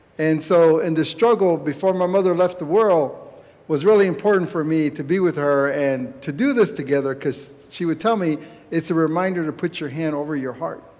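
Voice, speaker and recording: An unremarkable speaking voice from a man with an American accent, fairly high in pitch, at a fairly quick pace with ordinary pitch variation. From San Carlos Apache reservation, Arizona. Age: 60s. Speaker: Apache community leader and activist. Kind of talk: speech at a church gathering. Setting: church event with audience.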